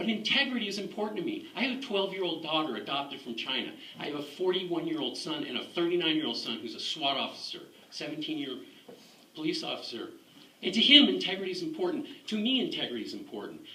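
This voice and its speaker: A man speaks very fast in a high-pitched, raised, projected voice with very wide pitch swings. There is noticeable background noise and audible room echo. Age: 60s. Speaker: war veteran. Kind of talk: testimony. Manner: animated.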